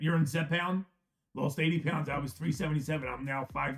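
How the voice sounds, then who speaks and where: A man speaks at a very fast pace with fairly even intonation. His voice is somewhat breathy. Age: 50s. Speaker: live-stream card box breaker. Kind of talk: casual live-stream chat. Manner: halting, repetitive.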